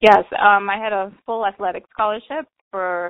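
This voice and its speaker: A woman talks at a fairly slow pace. She speaks with a Bahamian accent. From Bahamas (Nassau, Grand Bahama). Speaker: carnival enthusiast, former student athlete. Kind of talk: interview. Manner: casual, chatty.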